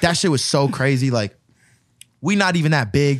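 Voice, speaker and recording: An animated voice rushes along at a very fast pace over a quiet background. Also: man, dry sound with no echo. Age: 20s. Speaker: DJ. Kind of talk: casual chat. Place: studio. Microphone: studio mic.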